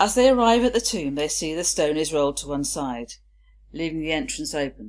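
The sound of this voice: A woman with a low pitch and a slightly mellow tone speaks at a fairly quick pace with ordinary pitch variation.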